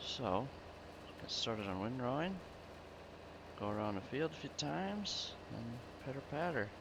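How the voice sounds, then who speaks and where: A man mumbles at a moderate pace with a fairly low pitch, lively intonation and long, frequent pauses. Audible room echo surrounds the voice. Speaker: gaming video creator. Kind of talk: casual gameplay commentary. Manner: mumbling.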